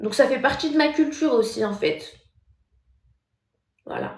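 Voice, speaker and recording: Audible room echo surrounds a loud voice. A woman speaks at a fairly slow pace. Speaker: TikTok live streamer. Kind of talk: casual live stream chat reading comments. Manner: soft-spoken, deliberately speaking quietly; normally loud.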